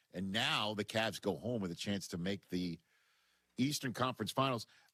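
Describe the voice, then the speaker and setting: A man speaks at a moderate pace with an American accent. The sound is dry and close, with no echo. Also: fairly low pitch for a man, ordinary pitch variation. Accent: New York accent, slight, slips out. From New York. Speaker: sports radio host. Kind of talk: sports talk radio. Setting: radio studio.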